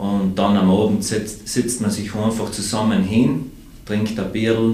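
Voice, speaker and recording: Amid noticeable background noise and audible room echo, a man speaks at a fairly slow pace with a fairly low pitch. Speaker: beer brewer and sommelier. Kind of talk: casual chat.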